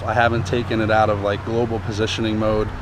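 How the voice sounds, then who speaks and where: Audible room echo colors the recording. Noticeable background noise is also present. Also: man. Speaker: vlogger. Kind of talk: tutorial. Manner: fast.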